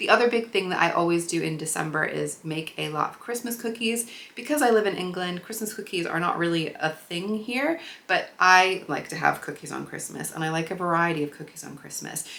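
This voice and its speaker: Over noticeable background noise, a woman with an American accent speaks fairly quickly at a fairly low pitch, her intonation lively and her loudness swinging widely. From US Midwest, Chicago. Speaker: sewing and craft vlogger. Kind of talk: casual vlog talk to camera.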